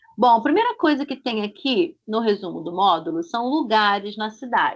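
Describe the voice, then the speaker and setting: A woman with a Rio de Janeiro accent speaks at a fairly slow pace, her fairly high voice carrying lively intonation. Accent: Rio de Janeiro (carioca) Brazilian Portuguese. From Brazil, Rio de Janeiro. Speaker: Portuguese language teacher. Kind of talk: online language lesson. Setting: video call. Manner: slow, clear didactic pronunciation.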